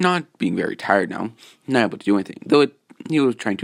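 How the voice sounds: The voice reads naturally, with lively intonation. Behind it, the background stays quiet.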